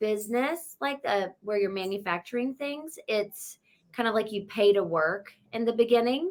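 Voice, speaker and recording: The woman's tone is bright, sharp and energetic. She talks at a fairly slow pace. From US South, North Carolina (near Charlotte). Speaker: real estate agent. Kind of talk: interview.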